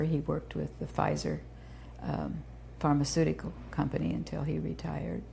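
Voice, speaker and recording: A woman speaks with a very deep, low pitch and a dark, mellow tone. Vocal fry runs through her voice, and her pitch varies an ordinary amount. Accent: American. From Indiana, US Midwest (Terre Haute). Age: 70s. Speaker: founder of a children's therapy center. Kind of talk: oral history interview.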